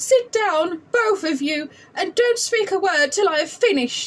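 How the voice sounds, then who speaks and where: A woman does a put-on character voice, squeaky and extremely high in pitch. It swings very widely in pitch at a moderate pace. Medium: read story. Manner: slow, sorrowful.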